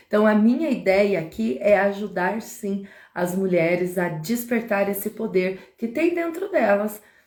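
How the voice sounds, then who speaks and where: At a fairly slow pace, a normal speaking voice carries lively intonation. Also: woman, medium pitch for a woman. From Brazil, interior of Paraná. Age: 40s. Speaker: live streamer, women's empowerment speaker. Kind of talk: live stream talk, personal testimony. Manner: casual, conversational.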